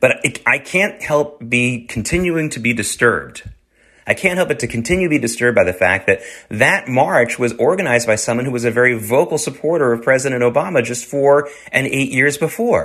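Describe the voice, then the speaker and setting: With an American accent, a man talks at a fairly quick pace in a plain, everyday voice, his intonation lively against a quiet background. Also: medium pitch for a man. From US South. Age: 50s. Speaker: radio show and podcast host. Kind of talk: solo commentary monologue.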